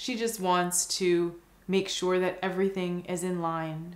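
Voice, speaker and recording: A soft-spoken woman at a medium pitch, with fairly even intonation and audible room echo. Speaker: meditation guide. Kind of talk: guided visualization meditation. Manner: slow, soft-spoken. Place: home room.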